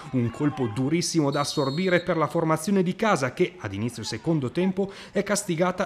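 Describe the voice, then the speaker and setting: With music in the background, a man with a fairly high pitch speaks at a fairly quick pace in an animated, dramatic tone with lively intonation. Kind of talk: sports highlights voiceover, scripted narration. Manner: fast, animated, dramatic, formal journalistic tone.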